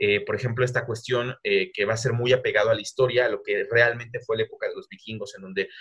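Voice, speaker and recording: A man talking at a very fast pace. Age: 20s. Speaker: university lecturer and video game researcher. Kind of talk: casual interview.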